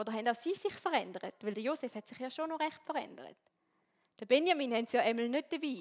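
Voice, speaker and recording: Talking at a very fast pace, a woman uses lively intonation and a high pitch, with big swings in loudness. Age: 20s. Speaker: theology student and worship leader. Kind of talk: sermon. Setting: stage with audience.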